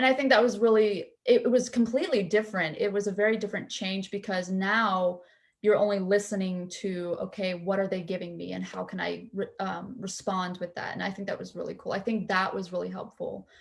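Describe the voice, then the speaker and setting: A woman's medium-pitched, somewhat breathy voice with an American accent, fairly even intonation, big swings in loudness, a fairly quick pace and hardly any pauses. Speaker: student actor. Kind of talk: panel talkback discussion.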